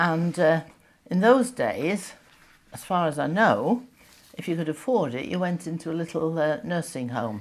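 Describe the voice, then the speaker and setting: A woman's fairly low voice with very wide pitch swings, a moderate pace, and long, frequent pauses. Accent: northern English. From northern England, Yorkshire. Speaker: retired teacher sharing wartime memories. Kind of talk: oral history interview. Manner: halting, many fillers.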